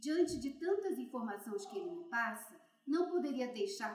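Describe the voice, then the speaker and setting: Lively in her intonation, a woman speaks at a moderate pace with audible room echo around her. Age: 80s+. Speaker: interviewer, elderly artist. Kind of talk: interview introduction. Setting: art gallery.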